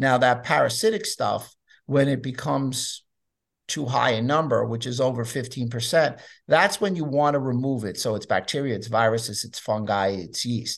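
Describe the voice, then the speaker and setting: A man with an American accent in an unremarkable speaking voice, medium pitch, ordinary pitch variation and moderate pace, against a quiet background. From US Northeast, New York City. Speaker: chiropractor and nutrition author. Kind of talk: interview.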